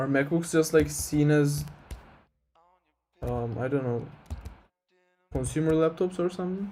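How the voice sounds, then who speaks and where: A man with a fairly high pitch and a dark, mellow, somewhat breathy tone, ordinary pitch variation, a fairly slow pace and long, frequent pauses. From Turkey. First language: Turkish. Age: 20s. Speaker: game developer streamer. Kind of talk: casual live stream chat. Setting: live stream. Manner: hesitant, many fillers.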